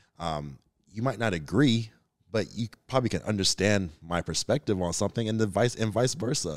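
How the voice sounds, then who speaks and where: In a very clean recording with a silent background, a man with an unremarkable speaking voice talks at a fairly low pitch with lively intonation. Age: 30s. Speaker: podcast guest. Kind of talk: casual chat.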